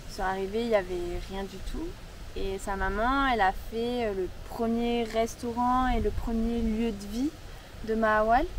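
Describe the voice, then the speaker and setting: Fairly slow delivery from a woman amid audible room echo. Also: ordinary pitch variation. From France. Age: 20s. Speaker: campsite owner. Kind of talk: interview.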